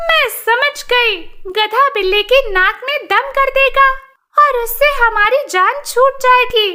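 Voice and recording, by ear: In a cartoonish character voice, a woman speaks at an extremely high pitch and a very slow pace.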